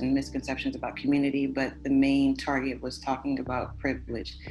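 The room echo is clearly audible. A woman speaks very fast within it. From Los Angeles, California. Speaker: community organizer. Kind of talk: casual chat.

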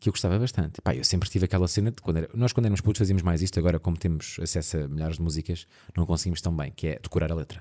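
Very fast with hardly any pauses, a man with a European Portuguese accent speaks in a very deep, low voice with a dark, mellow tone and ordinary pitch variation on a very clean recording with a silent background. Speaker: podcast co-host. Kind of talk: casual chat.

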